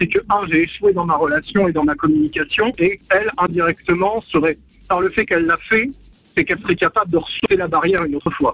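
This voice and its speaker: A man talks very fast. His pitch is high, with ordinary variation. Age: 30s. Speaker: radio caller. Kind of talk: phone-in radio testimony. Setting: phone call. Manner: halting.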